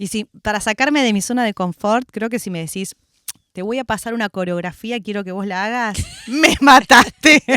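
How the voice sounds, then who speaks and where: With a Rioplatense accent and a bright, sharp tone, the voice moves at a moderate pace with ordinary pitch variation, recorded dry and close with no echo. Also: woman, fairly high pitch for a woman. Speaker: actress and theatre director. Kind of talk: radio interview.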